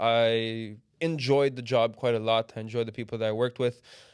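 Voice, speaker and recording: Against a quiet background, a man with a slight Canadian accent speaks at a medium pitch and moderate pace with fairly even intonation. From Canada, Toronto. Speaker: business development manager at a trading tech firm. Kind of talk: podcast interview.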